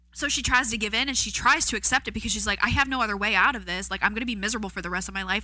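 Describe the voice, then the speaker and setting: A woman talks very fast in a bright, sharp, animated tone with vocal fry. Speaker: podcast co-host. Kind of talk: casual chat.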